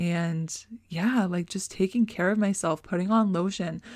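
The recording is very clean with a silent background. A woman speaks at a fairly low pitch and a fairly slow pace. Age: 20s. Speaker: podcast host. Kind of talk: casual monologue. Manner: rambling with fillers.

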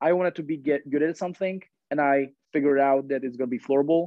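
A man talks very fast in a Czech accent. His pitch is fairly high and his intonation fairly even. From Czech Republic. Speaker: floorball player. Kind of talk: casual chat. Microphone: poor sound quality.

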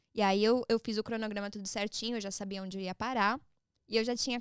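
A woman talks in a normal speaking voice. The recording is very clean with a silent background, and the sound is dry and close with no echo. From São Paulo, Brazil, raised partly in Orlando. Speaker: social media personality. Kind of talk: podcast interview, casual chat.

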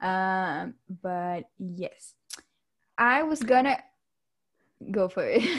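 A woman speaks at a very slow pace, somewhat breathy, with lively intonation and long, frequent pauses. The recording is very clean, with a silent background. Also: medium pitch for a woman. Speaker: podcast co-host. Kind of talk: casual chat.

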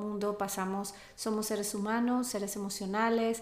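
There is audible room echo as a woman speaks at a medium pitch and a moderate pace, with monotone, flat intonation. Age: 40s. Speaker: yoga and meditation teacher. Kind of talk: interview.

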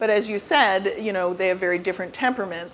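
Noticeable background noise fills the clip. A woman speaks over it. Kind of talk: moderated interview. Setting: stage with audience at store event.

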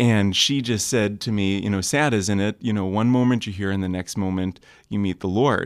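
With an American accent, a man talks in fairly even intonation on a very clean recording with a silent background. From US Midwest, Michigan. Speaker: young adults pastor. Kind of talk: casual chat.

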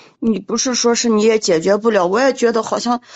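Fairly high in pitch, a woman talks at a moderate pace. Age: 40s. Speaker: caller. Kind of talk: casual chat. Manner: urgent.

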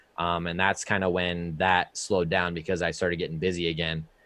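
With an American accent, the speech is monotone and flat over a quiet background. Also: man. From Indiana. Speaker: streamer and content creator. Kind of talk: casual chat.

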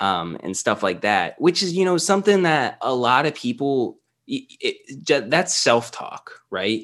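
In a quiet background, a man with a fairly high pitch and vocal fry talks at a fairly slow pace, his pitch swinging very widely. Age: 20s. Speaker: podcast guest, nutrition coach. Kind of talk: casual chat. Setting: remote call.

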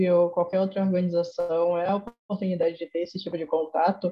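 A somewhat breathy woman's voice. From Salvador, Bahia (Brazil's Northeast). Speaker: youth NGO volunteer director. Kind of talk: casual interview chat.

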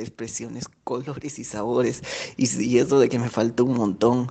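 A man's voice of medium pitch. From Peru. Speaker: former visitor to Mexico. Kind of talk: recorded testimonial.

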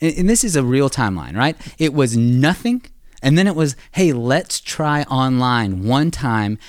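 In a very clean recording with a silent background, a man speaks at a fairly slow pace in a normal speaking voice at medium pitch. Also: very even loudness. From US South. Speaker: church staff member. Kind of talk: casual chat.

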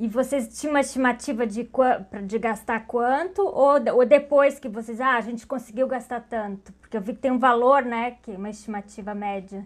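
With a high pitch and ordinary pitch variation, a woman speaks with big swings in loudness. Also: moderate pace. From Pelotas, Rio Grande do Sul, Brazil. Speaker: podcast host. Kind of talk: interview.

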